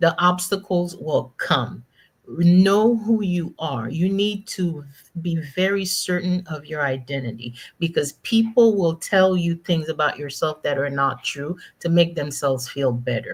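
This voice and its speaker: Fairly low in pitch and somewhat breathy, a woman speaks at a fairly slow pace with lively intonation. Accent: slight Haitian. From Haiti. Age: 50s. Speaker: executive coach, former corporate finance executive. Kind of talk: panel interview. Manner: emphatic.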